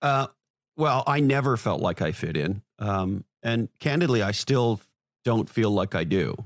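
Recorded very cleanly against a silent background, with a dry, close sound and no echo, a man in a normal speaking voice talks at a fairly slow pace with very even loudness. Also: medium pitch for a man, lively intonation. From Canada, Montreal. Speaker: marketing executive and author. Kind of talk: interview.

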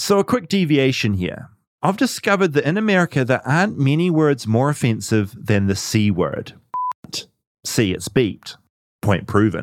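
In a New Zealand accent, a man at medium pitch talks at a moderate pace with very wide pitch swings, on a very clean recording with a silent background. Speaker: podcast host. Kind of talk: casual chat; scripted narration.

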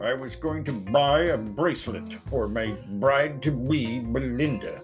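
Doing a put-on character voice, a man sounds gruff at medium pitch and a fairly slow pace, with clear music in the background.

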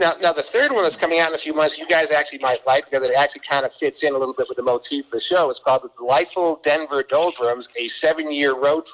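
Over noticeable background noise, a man with an American accent talks at a very fast pace in a fairly high pitch, with hardly any pauses. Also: fairly even intonation. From Boston. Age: 60s. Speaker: former DJ and author. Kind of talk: casual chat. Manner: halting.

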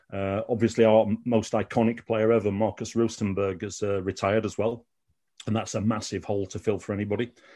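A man with a Sheffield accent, fairly low-pitched and very fast, flat and monotone, with a dark, mellow tone against a quiet background. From Sheffield, England. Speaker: Malmo football fan. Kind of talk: casual interview chat.

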